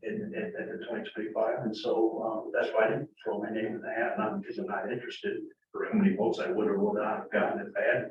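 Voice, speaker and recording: Audible room echo follows a man as he talks very fast. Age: 60s. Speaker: board candidate, retired civil engineer. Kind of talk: public meeting Q&A. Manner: halting, many repetitions and fillers.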